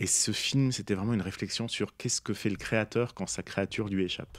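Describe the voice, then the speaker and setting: Moderate in pace, a man speaks at a fairly low pitch. The sound is dry with no echo, and the background is quiet. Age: 40s. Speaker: poet and author; guest. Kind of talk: interview. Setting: studio. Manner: halting, many hesitations. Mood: calm, reflective. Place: studio. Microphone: studio mic.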